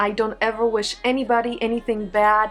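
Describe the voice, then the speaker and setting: A woman with a Polish accent talks at a moderate pace and fairly high pitch with fairly even intonation, music in the background. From Poland. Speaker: beauty vlogger. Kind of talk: casual vlog monologue. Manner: loud.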